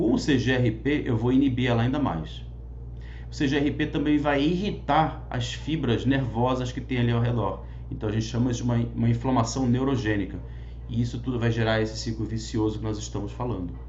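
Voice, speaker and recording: A man speaks fairly quickly, and audible echo fills the room around his voice. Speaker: physician teaching a class. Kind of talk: lecture. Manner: fast.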